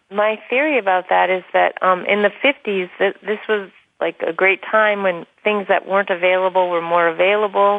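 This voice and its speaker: A woman with an unremarkable speaking voice talks at a moderate pace in a medium pitch, with fairly even intonation, very even loudness and hardly any pauses. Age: 40s. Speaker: author. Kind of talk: radio interview. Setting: internet talk radio.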